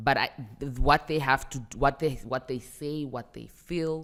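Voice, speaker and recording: There is vocal fry in the voice. The speaker is a woman. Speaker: rapper and celebrity. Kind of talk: podcast interview. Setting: studio.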